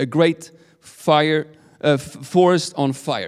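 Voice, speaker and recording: In a very clean recording with a silent background, a man with a Swedish accent speaks in an animated tone. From Sweden. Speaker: guest preacher. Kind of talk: sermon. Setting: church.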